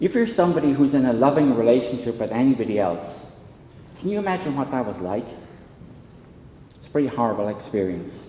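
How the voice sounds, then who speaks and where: In an Irish accent, a man at medium pitch talks at a very fast pace with very wide pitch swings, big swings in loudness, long, frequent pauses and audible room echo. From southwestern rural Ireland. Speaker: psychology professor and counsellor. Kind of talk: public talk at a town hall panel. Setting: hall with live audience.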